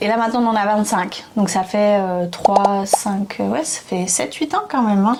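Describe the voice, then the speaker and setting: Speech moves at a fairly slow pace with hardly any pauses and ordinary pitch variation. Noticeable background noise runs underneath. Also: woman, medium pitch for a woman. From France. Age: 20s. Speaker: YouTuber. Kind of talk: casual chat. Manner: animated.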